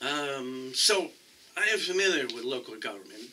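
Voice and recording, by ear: At a fairly slow pace, a man speaks with medium pitch and a bright, sharp tone.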